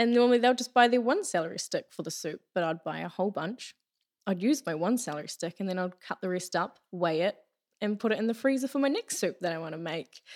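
Very fast and lively, a woman speaks in a New Zealand accent at a medium pitch. The recording is very clean with a silent background, dry and close with no echo. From New Zealand, Taranaki. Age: 20s. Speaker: hairdresser. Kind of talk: casual chat.

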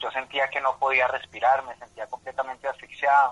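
This man's voice sits at a medium pitch. He talks fairly quickly. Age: 30s. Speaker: patient advocate. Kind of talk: radio interview. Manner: halting, many fillers.

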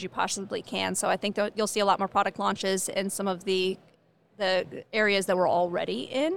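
A woman with an American accent talks at a medium pitch and a moderate pace. She has an ordinary speaking voice. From California. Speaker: cannabis company executive. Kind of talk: interview. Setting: trade show.

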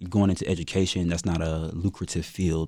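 Someone with an American accent talks with fairly even intonation on a very clean recording with a silent background. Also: man. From US South, Fayetteville, North Carolina. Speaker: graduate student. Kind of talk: casual chat. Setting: studio.

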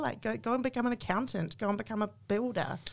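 The speaker has a New Zealand accent and a moderate pace. The recording is very clean, with a silent background. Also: woman. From New Zealand, small town. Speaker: coffee company marketing manager. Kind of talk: interview.

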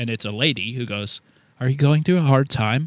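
An unremarkable speaking voice from a man with an American accent, medium pitch, ordinary pitch variation, and moderate pace, in a very clean recording with a silent background and a dry, close sound with no echo. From New Jersey. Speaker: metal guitarist and record producer. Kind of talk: casual interview chat.

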